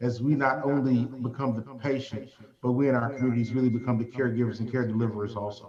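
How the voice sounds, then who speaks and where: A man speaks in a Southern US accent at a medium pitch. His intonation is monotone and flat, with noticeable background noise. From US South. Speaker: healthcare leader. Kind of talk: panel discussion.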